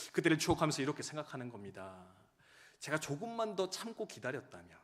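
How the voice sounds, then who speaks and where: At a fairly quick pace, a man with a fairly high pitch and vocal fry makes very wide pitch swings and big swings in loudness. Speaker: pastor. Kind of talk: sermon. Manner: fast.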